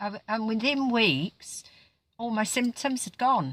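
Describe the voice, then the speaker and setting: In a very clean recording with a silent background and a dry, close sound with no echo, a woman talks at a fairly slow pace with ordinary pitch variation. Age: 60s. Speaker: vlogger. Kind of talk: personal testimony. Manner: halting.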